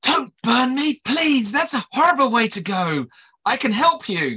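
Using a put-on character voice, the speaker talks at a moderate pace with a fairly high pitch. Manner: pleading.

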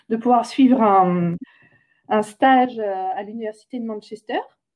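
Speaking very slowly, a woman uses lively intonation. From France, near Orléans. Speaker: climate change expert. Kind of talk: interview. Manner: halting, many repetitions.

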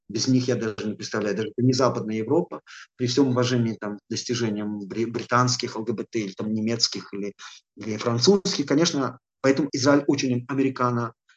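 This man speaks at a moderate pace with a medium pitch and ordinary pitch variation. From Belarus, Gomel. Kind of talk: interview. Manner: halting.

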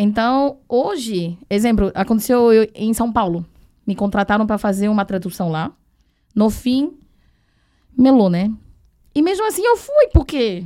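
A woman speaks at a fairly slow pace with long, frequent pauses. Her fairly high pitch carries a dark, mellow tone and lively intonation. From Taiwan. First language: Chinese (speaking Portuguese). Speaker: sourcing agent and translator. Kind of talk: casual chat.

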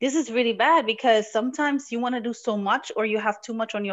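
A woman talks at a very fast pace in a fairly high voice. Her pitch varies in an ordinary way. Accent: Arabic. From Morocco. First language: Arabic. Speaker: artist and entrepreneur. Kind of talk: casual interview.

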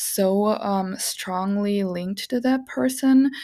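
A woman speaks with a non-native accent. The recording is very clean, with a silent background. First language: not English. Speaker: podcast host, witch and tarot reader. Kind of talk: solo podcast monologue. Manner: casual and rambling with frequent laughs.

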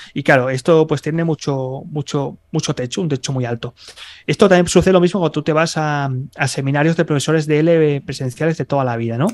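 An unremarkable speaking voice belongs to a man with a fairly high pitch and ordinary pitch variation. He goes at a fairly quick pace, recorded dry and close with no echo. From Spain, Barcelona. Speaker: Spanish teacher and online entrepreneur. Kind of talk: interview.

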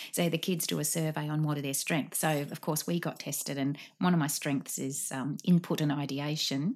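In a very clean recording with a silent background, a woman with an Australian accent talks at a moderate pace in a very deep, low pitch. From Sydney, Australia. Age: 40s. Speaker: guest. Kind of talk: casual chat. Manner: animated; halting.

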